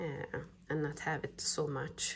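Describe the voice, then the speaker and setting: A woman's very deep, low, somewhat breathy voice with a non-native accent, very slow, in monotone, flat intonation. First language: not English. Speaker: crochet pattern designer. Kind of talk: crafting tutorial talk-through.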